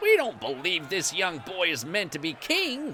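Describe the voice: In a put-on character voice with a bright, sharp tone, the speaker moves at a fairly slow pace through very wide pitch swings.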